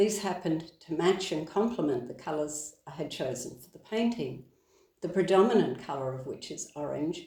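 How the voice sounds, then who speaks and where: The tone is dark and mellow, somewhat breathy. Delivery moves at a moderate pace with lively intonation. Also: woman, fairly low pitch for a woman, big swings in loudness. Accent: Australian. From Australia. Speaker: author and podcaster. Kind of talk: reading from own book.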